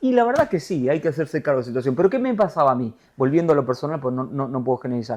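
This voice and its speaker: A man with an Argentine accent, fairly high pitch, ordinary pitch variation, an animated tone and a very fast pace. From Argentina. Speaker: TV news anchor. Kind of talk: interview conversation.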